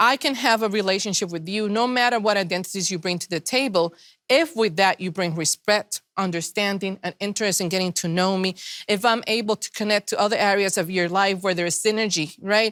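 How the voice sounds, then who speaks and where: A woman with a non-native accent talks at a fairly quick pace and medium pitch with ordinary pitch variation, her voice dry and close with no echo in a very clean recording against a silent background. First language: not English. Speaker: panelist. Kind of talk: panel discussion. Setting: virtual event.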